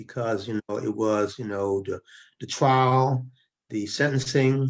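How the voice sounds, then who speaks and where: A man with a plain, everyday voice speaks at a medium pitch. His delivery is fairly slow, with fairly even intonation. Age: 60s. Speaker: former prisoner, retired government finance worker. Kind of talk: interview.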